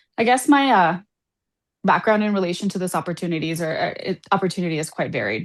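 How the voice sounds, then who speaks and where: A woman speaks with a Spanish accent at a fairly low pitch. The background is quiet. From Colombia, raised abroad incl. Saudi Arabia. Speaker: political candidate. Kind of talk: candidate forum statement.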